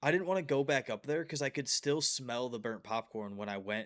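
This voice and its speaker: This very clean recording has a silent background and a man with a plain, everyday voice at a medium pitch. He talks at a fairly quick pace with lively intonation. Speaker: podcast co-host, professional talker. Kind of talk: casual chat.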